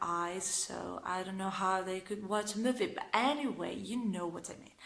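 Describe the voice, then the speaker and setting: This woman has an Italian accent and a medium pitch. Her intonation stays fairly even. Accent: Italian accent, non-native English. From northern Italy. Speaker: vlogger. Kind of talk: casual vlog talk to camera. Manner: talkative, hesitant with fillers; sarcastic, ironic.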